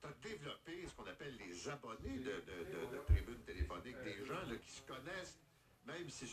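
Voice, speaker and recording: Very wide pitch swings in a man's speech, with music playing behind. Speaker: morning radio host. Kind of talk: radio interview.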